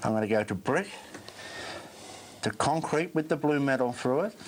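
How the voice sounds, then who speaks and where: A man's plain, everyday voice, fairly high pitched, with lively intonation, very even loudness and a moderate pace. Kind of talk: infomercial product demonstration.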